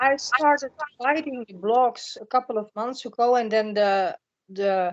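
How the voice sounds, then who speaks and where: Someone with a Dutch accent speaks at a moderate pace with ordinary pitch variation, in a dry, close sound with no echo. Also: woman. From Netherlands. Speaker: spiritual blogger. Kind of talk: podcast interview. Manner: halting, repeats words.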